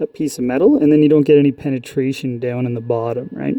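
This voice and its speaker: This man's voice sits fairly high in pitch and has ordinary pitch variation. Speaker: welding instructor. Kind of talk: tutorial. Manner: loud. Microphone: phone taped in welding helmet, very close.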